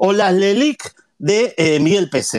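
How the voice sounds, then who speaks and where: His pitch swinging very widely, a man talks in a high register. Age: 50s. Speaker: economist and professor. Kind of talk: interview, economic analysis.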